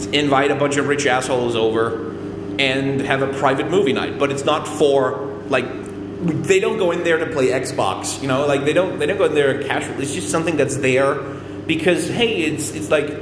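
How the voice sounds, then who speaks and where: Loud and at a moderate pace, a man speaks with ordinary pitch variation over noticeable background noise and audible room echo. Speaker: vlogger. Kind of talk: casual vlog monologue. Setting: laundry room with echo. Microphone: echoey room reverb.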